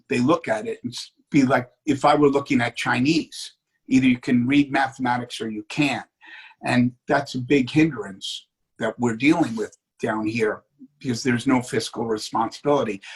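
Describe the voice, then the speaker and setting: A somewhat breathy man's voice at medium pitch, with fairly even intonation. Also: moderate pace. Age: 60s. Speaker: city commission candidate. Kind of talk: political interview.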